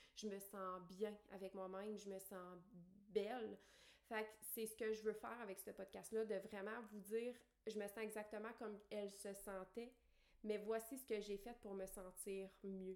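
A woman speaks in a Quebec accent at a fairly slow pace, medium in pitch, with monotone, flat intonation. Noticeable background noise runs under her voice. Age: 30s. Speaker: podcast host, life coach. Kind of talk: personal monologue. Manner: hesitant fillers.

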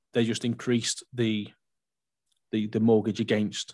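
Against a quiet background, a man with a fairly low pitch rattles off his words very fast in a flat monotone. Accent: English. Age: 30s. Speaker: mortgage adviser. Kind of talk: casual chat.

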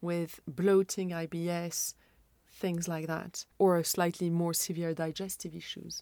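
Over a silent background in a very clean recording, a dark, mellow voice speaks at a fairly slow pace with monotone, flat intonation. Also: woman, fairly low pitch for a woman. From Moroccan Iranian background. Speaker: podcast host, nutrition coach. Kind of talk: interview conversation.

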